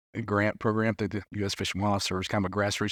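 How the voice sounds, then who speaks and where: With an Arkansas accent, a man talks very fast at a fairly low pitch in a monotone, flat delivery, the sound dry and close with no echo. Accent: country accent from Arkansas. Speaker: fishery policy director. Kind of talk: casual chat. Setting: live at a conference.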